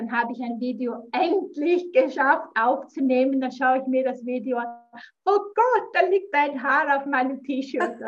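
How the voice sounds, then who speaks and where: Speaking fairly slowly, a woman uses lively intonation and a high pitch. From Switzerland, near Zurich. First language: Swiss German (speaking German). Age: 50s. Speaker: business mentor. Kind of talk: casual interview.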